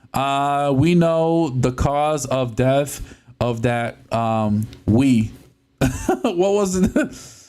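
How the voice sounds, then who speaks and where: In a very clean recording with a silent background, a man with a dark, mellow tone speaks at a very slow pace, with lively intonation and very even loudness. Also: fairly high pitch for a man. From Puerto Rican, raised in the US. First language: Spanish. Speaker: gaming streamer. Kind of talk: live stream chat while tearing down a console. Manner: casual, halting with many fillers.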